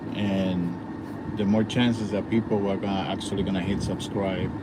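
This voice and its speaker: A man with a Dominican accent, fairly low pitch and moderate pace, over noticeable background noise. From Dominican Republic. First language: Spanish. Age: 50s. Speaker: travel vlogger. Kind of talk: casual vlog livestream. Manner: halting, many fillers.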